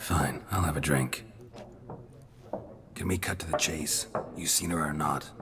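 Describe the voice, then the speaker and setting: Putting on a character voice, a man speaks at a moderate pace with a very deep, low pitch over clear background noise. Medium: machinima. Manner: terse, dry.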